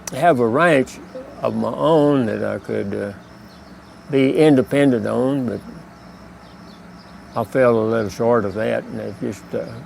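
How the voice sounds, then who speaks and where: A man talks at a fairly slow pace with long, frequent pauses. Noticeable background noise can be heard. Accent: Texas. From Texas, Hill Country near Austin. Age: 80s+. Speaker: retired border patrol officer. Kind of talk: personal life story interview. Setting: outdoors. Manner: halting, with many uh pauses.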